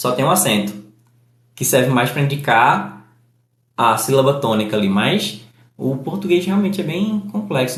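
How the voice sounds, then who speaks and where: A man talks at a moderate pace with very wide pitch swings. His voice is somewhat breathy, and room echo can be heard. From Northeast Brazil. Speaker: English teacher. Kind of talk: live stream chat. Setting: live stream. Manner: aiming for neutral journalistic diction.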